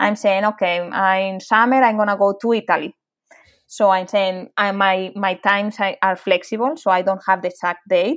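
A woman speaks at a moderate pace in a medium pitch, with fairly even intonation and very even loudness. The recording is very clean, with a silent background. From Spain, near Madrid. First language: Spanish. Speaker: animal charity founder. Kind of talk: interview. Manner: halting.

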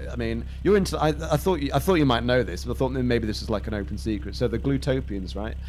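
A man's very deep, low voice at a very fast pace, hardly any pauses, ordinary pitch variation, and music in the background. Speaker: podcast host. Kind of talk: improvised comedy role-play. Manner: animated, playful.

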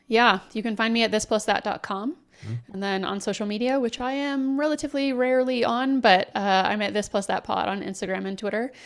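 In a normal speaking voice, a woman with an American accent talks at a fairly quick pace, her fairly high pitch showing ordinary variation on a very clean recording with a silent background. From Texas. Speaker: podcaster. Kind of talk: interview conversation.

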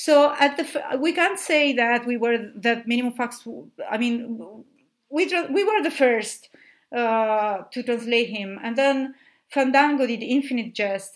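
Speaking with an Italian accent, a woman uses a high pitch and ordinary pitch variation. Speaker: literary translator. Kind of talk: casual interview conversation. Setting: remote call, recorded separately. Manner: halting, many fillers.

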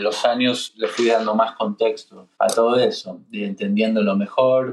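A man with a Rioplatense accent at a moderate pace. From Argentina, Buenos Aires. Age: 30s. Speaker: singer-songwriter and guitarist. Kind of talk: casual chat.

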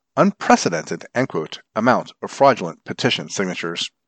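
With vocal fry and very wide pitch swings, this voice moves at a fairly quick pace in a dry, close sound with no echo against a quiet background. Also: man. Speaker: volunteer newspaper reader. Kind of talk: formal newsreading of print news articles, read aloud for blind listeners. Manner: formal, even, measured newsreader delivery.

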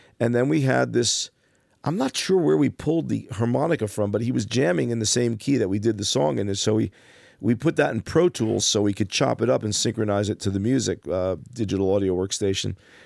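Captured in a very clean recording with a silent background, a man with vocal fry and fairly low pitch speaks at a fairly quick pace. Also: lively intonation. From New Jersey, Passaic. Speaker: gigging musician. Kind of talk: interview.

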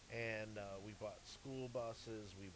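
The speaker is a man with a medium-pitched voice. He talks with a Midwestern American accent. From US Midwest, St. Louis, Missouri. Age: 50s. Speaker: music manager and entertainment executive. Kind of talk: casual chat. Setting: live at a jazz club. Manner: halting, repeats words.

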